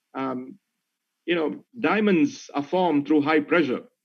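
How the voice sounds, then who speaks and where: A man speaks with a Malaysian accent. His pace is fairly slow. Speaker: corporate executive. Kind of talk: webinar talk.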